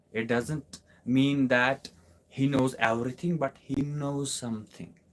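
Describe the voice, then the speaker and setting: The man speaks with a Kashmiri accent at a medium pitch. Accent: Kashmiri Indian English. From Kashmir, India. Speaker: English teacher. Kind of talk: live online class Q&A. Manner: repetitive, emphatic.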